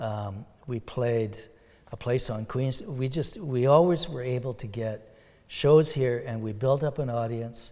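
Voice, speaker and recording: A man with a plain, everyday voice speaks fairly slowly at a medium pitch, with ordinary pitch variation. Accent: Canadian. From Ontario, Sault Ste. Marie area. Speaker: country and bluegrass musician. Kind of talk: interview.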